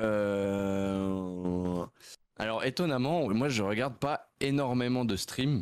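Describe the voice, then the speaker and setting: On a very clean recording with a silent background, a man with a fairly low pitch speaks at a very slow pace, his loudness very even and his pitch variation ordinary. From Switzerland, canton of Vaud (near Nyon). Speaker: streamer. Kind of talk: casual interview.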